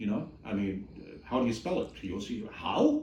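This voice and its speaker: A man's pitch swings very widely. Audible room echo surrounds his voice. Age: 60s. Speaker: ex cult member's husband. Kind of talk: interview testimony. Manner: halting.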